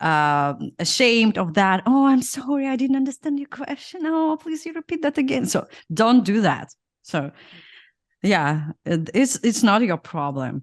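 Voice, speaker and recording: Over a quiet background, the speaker talks at a fairly slow pace with very wide pitch swings in a dry, close sound with no echo. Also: woman, fairly high pitch for a woman. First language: Russian. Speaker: podcast host, former product manager. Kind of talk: interview conversation. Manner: halting, many fillers.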